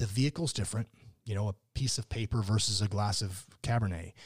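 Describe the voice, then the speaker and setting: On a very clean recording with a silent background and a dry, close sound with no echo, a man with an American accent speaks somewhat breathily at a fairly quick pace and a fairly low pitch, with ordinary pitch variation. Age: 50s. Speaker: winemaker and author. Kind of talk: casual interview. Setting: winery tasting room. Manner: animated.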